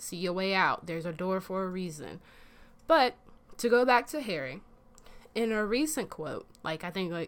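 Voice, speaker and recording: A woman with an American accent has an unremarkable speaking voice and lively intonation. She keeps a moderate pace on a very clean recording with a silent background. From US South. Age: 20s. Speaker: podcast host. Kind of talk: casual chat. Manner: casual, opinionated.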